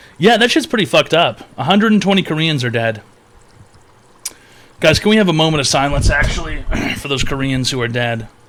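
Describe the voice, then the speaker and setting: A man speaks at a fairly quick pace with very wide pitch swings and long, frequent pauses. Noticeable background noise runs underneath. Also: fairly high pitch for a man. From Canada. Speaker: streamer hosting a call-in advice show. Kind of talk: live stream call-in chat.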